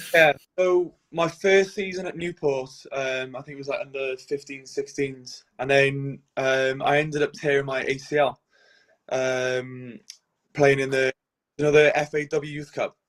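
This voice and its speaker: Speaking at a fairly slow pace, a man with a strong Welsh accent uses a fairly high pitch and fairly even intonation. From Wales, Cardiff. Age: 20s. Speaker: professional goalkeeper. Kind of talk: podcast interview.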